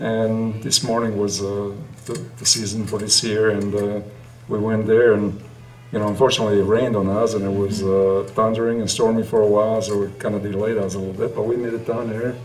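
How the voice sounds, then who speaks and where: A man's fairly low voice, monotone and flat in intonation, with audible room echo. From Italy. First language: Italian. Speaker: trail runner, running group co-founder. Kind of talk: podcast interview.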